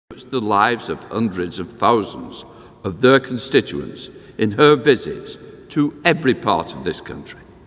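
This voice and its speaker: Over noticeable background noise, a man at medium pitch speaks at a moderate pace with very wide pitch swings. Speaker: parliamentary speaker delivering address of condolence. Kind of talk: formal ceremonial address of condolence. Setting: large hall, public ceremony.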